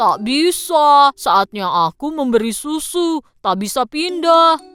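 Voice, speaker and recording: A put-on character voice at a high pitch moves at a fairly slow pace over faint music in the background. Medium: fan dub.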